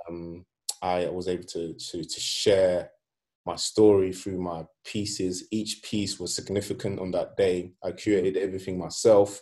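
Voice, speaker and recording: At a fairly slow pace, a man speaks with a very deep, low pitch, a dark, mellow tone and monotone, flat intonation. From Sweden, Nigerian (Yoruba) family. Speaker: artist. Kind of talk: casual interview chat. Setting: at home.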